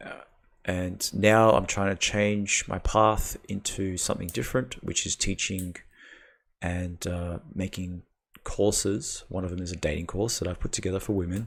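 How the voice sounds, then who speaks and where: A man speaks in a very deep, low pitch with an Australian accent and fairly even intonation. The recording is very clean, with a silent background. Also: moderate pace. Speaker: dating call-in show host. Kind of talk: casual chat.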